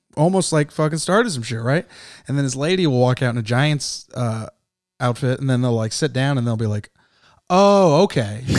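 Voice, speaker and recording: A man talks at a medium pitch. His intonation is lively. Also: moderate pace. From San Jose, California. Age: 30s. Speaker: stand-up comedian. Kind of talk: casual chat. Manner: animated.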